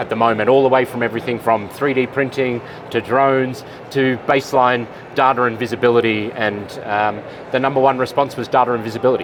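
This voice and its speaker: With an Australian accent, a man speaks at a very fast pace in a monotone, flat intonation, with noticeable background noise and audible room echo. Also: medium pitch for a man. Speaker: supply chain expert, conference keynote speaker. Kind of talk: interview. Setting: conference expo floor.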